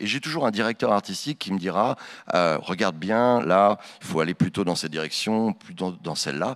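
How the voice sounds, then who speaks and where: Over a quiet background, a man with a normal speaking voice talks at a moderate pace with fairly low pitch and lively intonation. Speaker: voice actor. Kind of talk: conference Q&A. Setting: stage with audience. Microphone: handheld.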